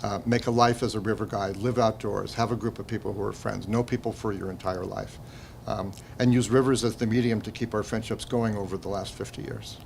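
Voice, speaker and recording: A man talks at a fairly quick pace in a fairly low pitch, with vocal fry. His intonation stays fairly even. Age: 70s. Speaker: documentary filmmaker, former river guide. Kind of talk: festival interview. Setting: film festival interview. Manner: halting.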